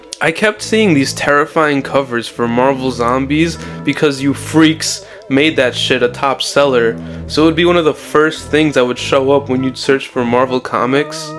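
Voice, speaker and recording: At a moderate pace and very even loudness, a man with a fairly high pitch speaks over music in the background. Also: ordinary pitch variation. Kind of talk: comic book commentary video. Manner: casual, irreverent.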